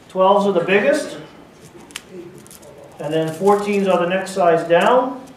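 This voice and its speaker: Very slow speech with audible room echo and light background noise. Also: man. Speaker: presenter. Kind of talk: live demonstration talk to an audience. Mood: jokey, relaxed. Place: hall.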